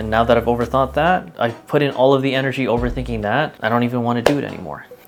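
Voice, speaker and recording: Over music in the background, a man speaks at a very fast pace with ordinary pitch variation. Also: medium pitch for a man. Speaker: vlogger, content creator. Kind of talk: casual vlog monologue.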